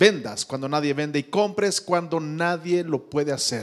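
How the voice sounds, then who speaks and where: Against a quiet background, a man talks in a high pitch with ordinary variation. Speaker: pastor. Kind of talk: closing benediction and prayer; prayer and blessing. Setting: church. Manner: fervent, declaratory. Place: church. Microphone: handheld.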